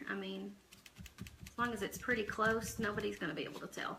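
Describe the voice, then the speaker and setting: A woman with a Southern accent speaks quietly at a moderate pace. Noticeable background noise runs under her voice. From southeastern Oklahoma. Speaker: live streamer. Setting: at home. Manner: speaking quietly.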